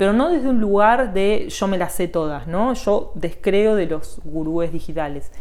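A woman talks with lively intonation and very even loudness, hardly pausing at all. Room echo can be heard. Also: medium pitch for a woman, fairly slow pace. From Argentina, Buenos Aires area (Morón). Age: 40s. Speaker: digital marketing teacher and consultant. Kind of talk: interview.

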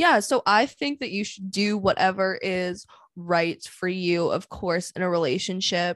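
With a Canadian accent and an ordinary speaking voice, a woman speaks at a fairly slow pace in a medium pitch with ordinary pitch variation on a very clean recording with a silent background. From Vancouver, Canada. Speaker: podcast host. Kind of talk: casual chat.

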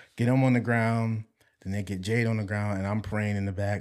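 In a normal speaking voice, a man talks at a fairly low pitch on a very clean recording with a silent background. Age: 20s. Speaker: church drummer and musician. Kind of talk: testimony.

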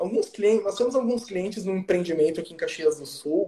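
A man talks with lively intonation. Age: 20s. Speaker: real estate lawyer and author. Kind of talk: interview, explanatory.

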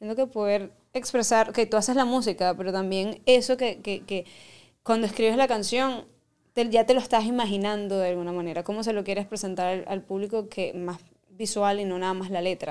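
A woman in a Venezuelan accent, fairly quick in pace, with fairly even intonation. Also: medium pitch for a woman, very clean recording, silent background. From Venezuela, llanos region. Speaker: singer. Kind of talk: casual interview chat, Spanish-English code-switching.

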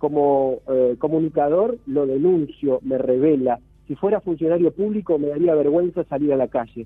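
A man with a plain, everyday voice talks at a fairly high pitch and a moderate pace, with hardly any pauses. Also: ordinary pitch variation. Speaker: cultural critic columnist. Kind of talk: radio commentary. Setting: phone call.

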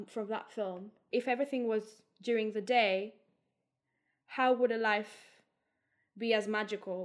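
At a fairly slow pace, a woman talks with a fairly high pitch and fairly even intonation. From Greece. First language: Greek. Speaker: theatre and film director. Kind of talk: casual interview. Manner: hesitant, many fillers.

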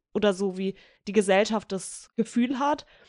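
A woman with a plain, everyday voice, medium pitch and ordinary pitch variation at a moderate pace, in a dry, close sound with no echo and a quiet background. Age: 20s. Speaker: youth council member, podcast co-host. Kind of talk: interview.

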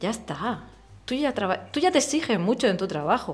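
A woman is speaking. Her intonation is lively. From Murcia, Spain. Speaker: illustrator. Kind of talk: casual interview.

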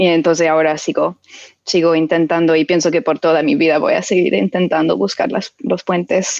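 A woman's fairly low voice, dry and close with no echo, very even in loudness, lively in intonation, at a moderate pace. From United States. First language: English (speaking Spanish). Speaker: film director and writer. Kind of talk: interview. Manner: halting.

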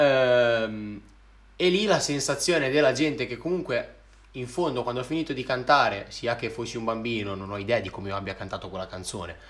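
Here a man speaks at a medium pitch and a fairly quick pace. His intonation is lively. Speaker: singer and rapper. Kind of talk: casual chat. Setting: live stream. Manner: talkative.

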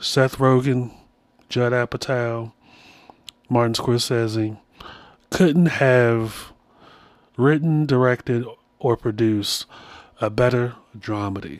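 Taking long, frequent pauses at a very slow pace, a man talks at medium pitch with ordinary pitch variation. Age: 40s. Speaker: podcast host. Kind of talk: solo monologue with storytelling and advice.

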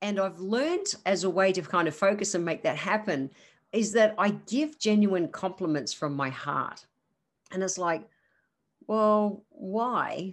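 A woman with an Australian accent, medium pitch and lively intonation, with long, frequent pauses over a quiet background. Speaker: naturopath podcast host. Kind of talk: solo podcast monologue. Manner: fast talker, excitable.

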